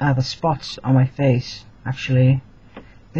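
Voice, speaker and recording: A man speaks in a medium pitch with a somewhat breathy voice. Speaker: vlogger. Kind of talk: casual vlog update. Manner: hesitant, many fillers.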